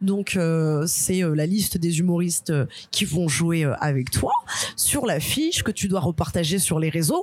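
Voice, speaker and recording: A woman with a fairly low pitch and an animated tone at a fairly slow pace. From Algerian and Guadeloupean heritage, France. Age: 30s. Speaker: stand-up comedian. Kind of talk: casual chat.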